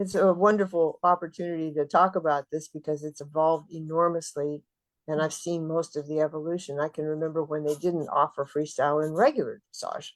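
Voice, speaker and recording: A woman speaks at a fairly quick pace. Her pitch is very deep and low, and her intonation is monotone and flat. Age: 70s. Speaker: dressage trainer and rider. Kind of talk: interview. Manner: halting.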